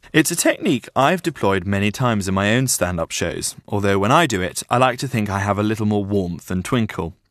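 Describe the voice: Plain reading aloud, with ordinary pitch variation, makes up this clip.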